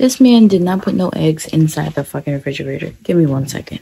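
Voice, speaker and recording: Here we hear a woman talking. Her voice sits at a very deep, low pitch. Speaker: vlogger. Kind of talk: casual vlog chat. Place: kitchen. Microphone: phone near.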